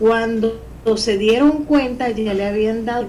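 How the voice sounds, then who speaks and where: A woman speaks with fairly even intonation. Noticeable background noise and audible room echo surround her voice. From Venezuela. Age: 60s. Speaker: poet and novelist. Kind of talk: interview. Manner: halting.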